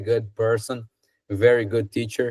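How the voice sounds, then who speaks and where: The speaker is a man. He has a Brazilian Portuguese accent. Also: very clean recording, silent background. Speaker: English student. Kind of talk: casual chat. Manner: halting.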